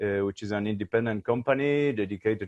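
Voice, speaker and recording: A man's mid-pitched voice in a Uruguayan accent, at a moderate pace with ordinary pitch variation. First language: Spanish. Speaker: research company CEO. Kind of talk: panel discussion.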